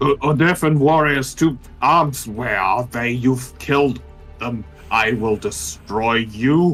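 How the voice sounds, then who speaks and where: Over clear background music, a man in a put-on character voice speaks at a fairly slow pace with medium pitch. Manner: shouting, mumbling.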